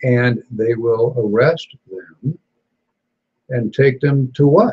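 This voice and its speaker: With an American accent, a man at medium pitch speaks fairly slowly and somewhat breathily, leaving long, frequent pauses. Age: 70s. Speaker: gun rights talk show host. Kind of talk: casual chat.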